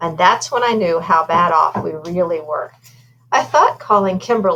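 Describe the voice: The passage is simply read aloud in a plain way.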